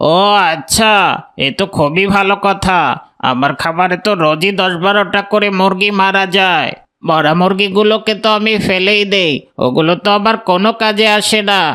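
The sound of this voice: A cartoonish character voice at a middle pitch and moderate pace.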